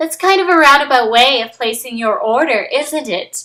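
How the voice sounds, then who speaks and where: Using a put-on character voice, a woman speaks at a moderate pace in a high pitch with lively intonation. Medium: read story. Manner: sweet yet stern.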